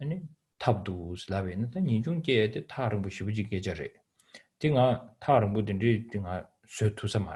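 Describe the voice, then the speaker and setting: A man with a Tibetan accent talks at a fairly quick pace with lively intonation. His fairly low voice has a dark, mellow tone and sounds somewhat breathy. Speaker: Buddhist teacher. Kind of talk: dharma teaching. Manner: halting English with many fillers.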